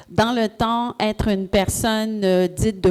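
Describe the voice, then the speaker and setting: The voice has a dark, mellow tone and fairly even intonation in a strong Quebec accent. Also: woman. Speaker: entrepreneur, panelist. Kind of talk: panel talk.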